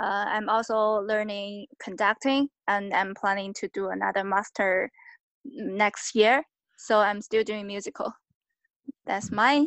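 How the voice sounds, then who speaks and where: Speaking with a Chinese accent at a very slow pace, a woman keeps a medium pitch and a fairly even intonation. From China. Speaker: stage manager and composer. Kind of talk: interview. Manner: halting.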